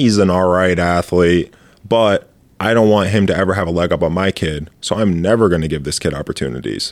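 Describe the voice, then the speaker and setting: In an American accent, a man with a very deep, low pitch speaks at a fairly quick pace with ordinary pitch variation. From Michigan, Grand Ledge. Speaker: retired basketball player and entrepreneur. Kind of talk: casual interview chat.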